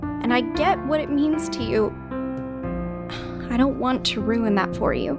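An unforced reading voice is heard. That is its only listed trait.

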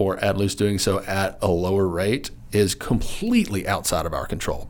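A man is speaking. He has a Southern US accent. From Arkansas, Lonoke County. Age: 30s. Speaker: wildlife agency director. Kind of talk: interview.

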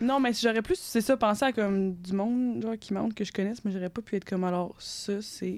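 Her pitch medium and her intonation fairly even, the woman speaks at a fairly quick pace. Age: 20s. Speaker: engineering student and podcast co-host. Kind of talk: casual chat.

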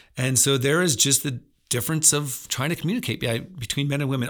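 Here a man with an American accent speaks at a very fast pace in a medium pitch. His pitch varies in an ordinary way, and the recording is very clean with a silent background. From central Pennsylvania. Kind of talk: devotional talk. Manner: conversational.

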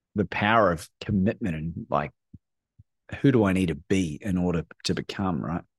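In a very clean recording with a silent background, a man speaks at a moderate pace in a fairly low pitch. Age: 40s. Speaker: courage coach. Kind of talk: casual chat.

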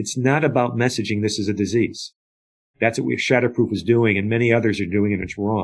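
An ordinary speaking voice belongs to a man at a medium pitch. He moves at a fairly quick pace over a quiet background. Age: 60s. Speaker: addiction advocate and nonprofit founder. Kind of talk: interview.

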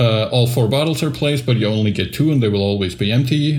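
Somewhat breathy delivery at a fairly quick pace, with ordinary pitch variation. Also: man. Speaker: podcast co-host. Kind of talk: casual chat.

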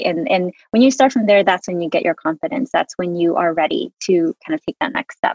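Woman with an American accent, medium pitch, lively intonation, very fast pace, dry, close sound with no echo. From US, Hmong family. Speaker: product manager in media. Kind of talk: interview conversation. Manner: rambling, filler-heavy.

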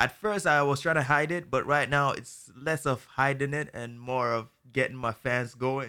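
In a very clean recording with a silent background, a man speaks at medium pitch with a bright, sharp tone, ordinary pitch variation and a fairly slow pace. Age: 20s. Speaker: TikTok creator and musician.

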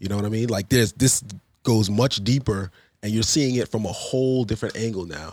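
Speaking in a New York accent, a man with a medium-pitched voice keeps a fairly quick pace and ordinary pitch variation. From Queens, New York, then Long Island. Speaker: basketball referee. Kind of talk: casual interview.

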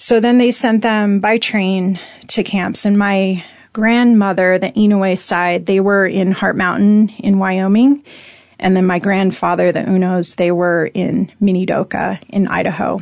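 A woman with an American accent has a plain, everyday voice at a medium pitch, with fairly even intonation and very even loudness. She speaks at a fairly slow pace against a quiet background. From US Pacific Northwest, Spokane, Washington. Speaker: entrepreneur and activist. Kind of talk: interview conversation.

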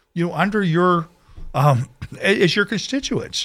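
A man with an American accent and a high pitch, on a very clean recording with a silent background. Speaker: radio talk show host. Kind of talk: radio interview. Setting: radio studio. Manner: fast.

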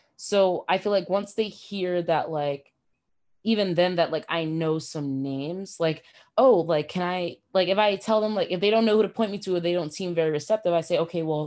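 In a plain, everyday voice, a woman speaks with an American accent at a moderate pace. Her pitch is fairly low with ordinary variation, and the background is quiet. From New York. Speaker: podcast co-host, aspiring film production worker. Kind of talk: casual chat.

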